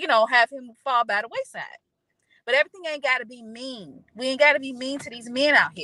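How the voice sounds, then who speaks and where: The voice is raised and projected, moving at a fairly quick pace with ordinary pitch variation. Loudness swings widely, and the sound is dry and close with no echo. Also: woman, high pitch for a woman. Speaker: podcast guest. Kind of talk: casual chat.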